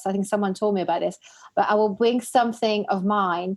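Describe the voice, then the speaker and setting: A woman talks fairly quickly in a fairly high voice. Noticeable background noise sits behind her. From Belgium. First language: not English; English is her fourth language. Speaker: podcast host. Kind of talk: casual chat.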